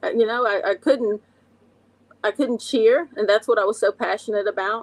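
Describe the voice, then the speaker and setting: Recorded with a dry, close sound and no echo, a woman speaks in an Appalachian accent at a medium pitch with ordinary pitch variation. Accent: Appalachian Southern. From West Virginia, Logan (Appalachia). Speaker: recovery coach and addiction counselor. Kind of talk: personal testimony in an interview.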